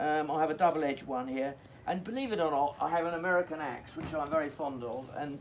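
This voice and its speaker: At a very fast pace, a man with an English accent speaks at a fairly high pitch with ordinary pitch variation. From England. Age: 80s+. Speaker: hedgelaying craftsman. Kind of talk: outdoor demonstration. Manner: halting.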